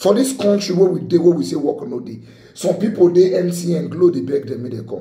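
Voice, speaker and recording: Against a quiet background with audible room echo, a man speaks at a fairly quick pace in a high-pitched, dark, mellow tone, his intonation lively and his loudness swinging widely. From Nigeria. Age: 30s. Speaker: lawyer and motivational vlogger. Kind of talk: motivational talk to camera. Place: home room. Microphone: phone near.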